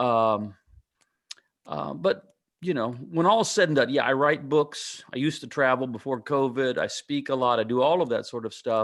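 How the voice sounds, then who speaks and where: At a moderate pace and medium pitch, a man talks in a plain, everyday voice with ordinary pitch variation. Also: very clean recording, silent background. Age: 60s. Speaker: pastor and author. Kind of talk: interview.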